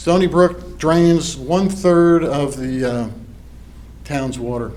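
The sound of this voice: A man with a fairly high pitch and slightly mellow tone talks slowly with fairly even intonation, and audible room echo surrounds him.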